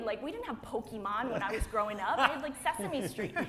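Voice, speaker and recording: A woman talks at a fairly quick clip with lively intonation and an animated tone. Room echo is audible around her. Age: 40s. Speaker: plant-based athlete. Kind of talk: panel discussion.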